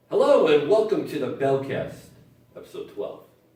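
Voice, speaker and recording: Room echo can be heard on this recording. A man speaks at a moderate pace in it. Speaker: podcast co-host. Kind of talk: casual chat. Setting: studio. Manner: loud.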